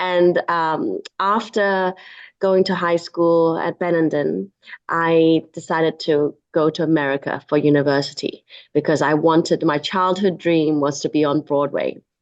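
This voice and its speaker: Over a quiet background, a woman with a Chinese accent speaks at a fairly slow pace in a fairly low pitch with fairly even intonation. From Hong Kong, raised in England from nine. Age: 40s. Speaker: entrepreneur and film producer. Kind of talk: interview. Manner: halting, many fillers.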